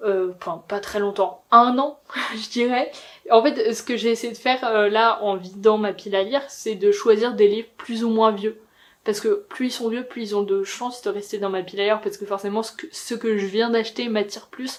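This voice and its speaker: A woman with a plain, everyday voice, fairly high in pitch, at a moderate pace. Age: 20s. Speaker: booktuber. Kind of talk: casual talk to camera.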